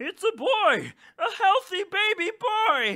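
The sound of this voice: A man's put-on character voice, extremely high-pitched and bright and sharp, with big pitch swings and a slow pace.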